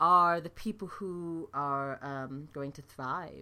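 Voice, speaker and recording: A woman with a slight British accent speaks in a fairly low, bright, sharp voice with ordinary pitch variation. The recording is very clean, with a silent background. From London, England. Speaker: nurse and podcast host. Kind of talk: solo podcast talk, informal. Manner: conversational, fillers, upbeat.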